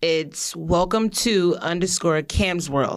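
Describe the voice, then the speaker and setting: The recording is very clean, with a silent background. A woman with an unremarkable speaking voice talks at a fairly slow pace with lively intonation. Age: 30s. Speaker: children's book author. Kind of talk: casual chat. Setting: studio.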